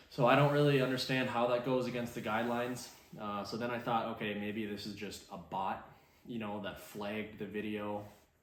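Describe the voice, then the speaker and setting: A man's medium-pitched voice at a fairly quick pace with fairly even intonation, plus noticeable background noise and audible room echo. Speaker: outdoors and truck YouTuber. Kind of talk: casual vlog monologue. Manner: casual with many fillers.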